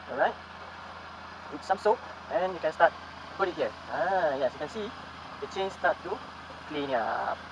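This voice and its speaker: A high-pitched man talks at a moderate pace with ordinary pitch variation. Long, frequent pauses break his speech over noticeable background noise. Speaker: motovlogger. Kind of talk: tutorial.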